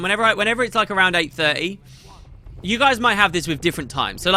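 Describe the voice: Music plays in the background as a man talks. His raised, projected voice sits at a high pitch.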